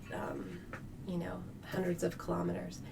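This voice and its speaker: A woman whispers. Audible room echo and noticeable background noise surround her. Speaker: geoscience professor and associate dean. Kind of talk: interview. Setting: podcast studio. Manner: fast; animated.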